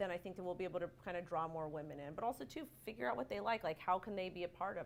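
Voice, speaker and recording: A woman's medium-pitched voice rushes along very quickly. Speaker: crypto panelist. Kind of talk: panel discussion. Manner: loud.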